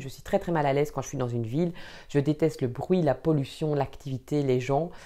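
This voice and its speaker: Speaking at a fairly quick pace in a Belgian accent, a woman has a dark, mellow tone, a very deep, low pitch and ordinary pitch variation against a quiet background. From Belgium, Wallonia. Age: 30s. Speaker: vlogger and trainer. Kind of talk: personal introduction vlog. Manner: hesitant, many filler sounds.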